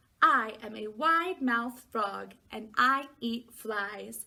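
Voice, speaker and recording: A woman puts on a character voice and speaks at a fairly slow pace. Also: fairly high pitch for a woman. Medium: read story.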